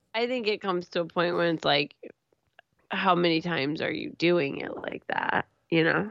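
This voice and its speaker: The pace here is moderate. It is a normal speaking voice with ordinary pitch variation. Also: woman, fairly low pitch for a woman. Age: 30s. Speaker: podcast co-host. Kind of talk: casual chat.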